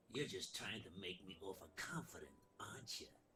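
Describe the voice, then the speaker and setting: Amid clear background noise, a man does a put-on character voice at a fairly low pitch, moving at a moderate pace with very wide pitch swings. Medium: video game. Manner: mocking.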